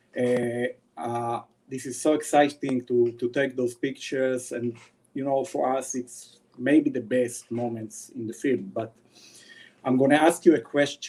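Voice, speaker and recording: Speaking at a medium pitch, a man has a dark, mellow tone. He keeps a fairly slow pace and fairly even intonation. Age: 40s. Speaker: wildlife photographer. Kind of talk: webinar presentation. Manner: hesitant, many fillers.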